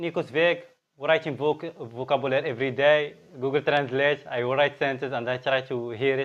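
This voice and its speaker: A man speaks at a moderate pace in a fairly high pitch. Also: fairly even intonation. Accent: Moroccan. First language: Arabic. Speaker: language learning vlogger. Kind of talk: casual vlog monologue. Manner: halting, with fillers and restarts.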